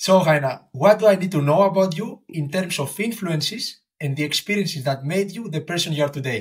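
A fairly quick delivery with hardly any pauses, ordinary pitch variation and a Greek accent. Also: man, high pitch for a man. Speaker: podcast host and athlete. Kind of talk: interview.

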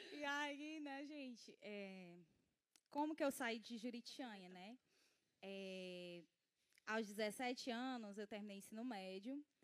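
A woman speaks at a very slow pace with a fairly high pitch and lively intonation. Her speech has long, frequent pauses. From Ceará, Brazil (rural Acaraú). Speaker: church ministry member. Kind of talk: casual interview on a church livestream. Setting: livestream. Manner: frequent fillers (né).

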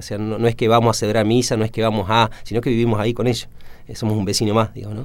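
A man speaks at a very fast pace. His medium-pitched voice has a monotone, flat intonation. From Argentina, Entre Ríos. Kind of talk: radio interview. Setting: radio studio. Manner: hesitant, many fillers.

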